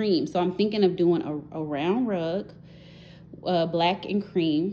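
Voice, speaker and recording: Light background noise sits behind a woman with a fairly low pitch, a dark, mellow tone and ordinary pitch variation. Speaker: homeowner vlogger. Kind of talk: casual house tour narration. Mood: relaxed, chatty. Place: home room. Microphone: phone near.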